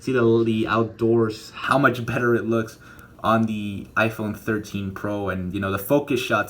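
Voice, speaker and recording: Mumbling at a moderate pace, a man speaks at a medium pitch with ordinary pitch variation. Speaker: tech YouTuber. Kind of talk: casual tech review vlog. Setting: indoors in bedroom at home. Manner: stutter at times.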